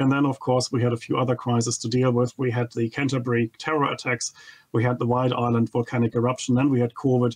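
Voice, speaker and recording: Against a quiet background, a man with a German accent speaks at a very fast pace in a monotone, flat intonation. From Germany. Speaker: economist, think tank head. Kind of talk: TV interview. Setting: remote video link. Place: home room. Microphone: studio mic.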